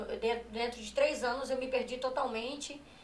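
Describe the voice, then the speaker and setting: A woman's high-pitched voice comes through with audible room echo. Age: 30s. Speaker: gospel singer giving testimony. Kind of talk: testimony. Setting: live stream. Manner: halting, repeats words.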